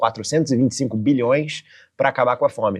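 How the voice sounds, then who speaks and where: A man speaks in a Rio de Janeiro accent with lively intonation. The background is quiet. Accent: carioca. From Rio de Janeiro, Brazil. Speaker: podcast host. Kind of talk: podcast interview.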